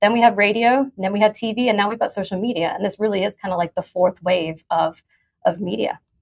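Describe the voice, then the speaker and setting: A woman at a medium pitch talks at a fairly quick pace with ordinary pitch variation. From England, moved to US at nine. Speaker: crypto journalist. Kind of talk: panel discussion. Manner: halting, many fillers and restarts.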